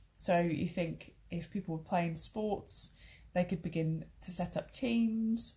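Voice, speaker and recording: A somewhat breathy, dark and mellow tone with fairly even intonation at a fairly slow pace. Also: woman. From southern England, Crawley. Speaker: English teacher. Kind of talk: online English lesson. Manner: casual, hesitant with fillers.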